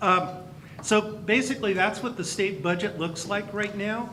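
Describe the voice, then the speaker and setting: A man with an American accent at a moderate pace, with audible room echo and noticeable background noise. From California, Campbell area (Bay Area). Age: 60s. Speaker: county superintendent of schools. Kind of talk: speech at a luncheon. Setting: banquet hall with audience.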